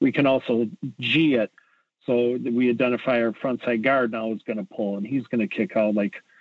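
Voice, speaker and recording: Someone with an Upper Midwestern accent speaks at a moderate pace with ordinary pitch variation. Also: man, medium pitch for a man. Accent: Upper Midwestern American. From Wisconsin (Edgerton). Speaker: high school football coach. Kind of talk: interview. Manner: hesitant with fillers.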